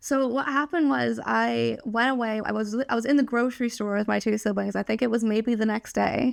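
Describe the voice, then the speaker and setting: A woman speaks at a fairly quick pace with hardly any pauses. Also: very even loudness. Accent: American. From moved around, military family, born in the US. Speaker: business student and employee. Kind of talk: podcast interview. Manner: direct.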